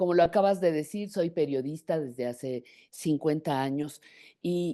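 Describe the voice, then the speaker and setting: A woman speaks with a very deep, low pitch and a dark, mellow tone. She goes fairly slowly with ordinary pitch variation against a quiet background. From Mexico. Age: 70s. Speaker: journalist. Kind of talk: interview.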